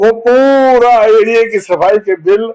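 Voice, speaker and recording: With a high pitch and lively intonation, a man speaks. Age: 80s+. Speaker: activist. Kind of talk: interview.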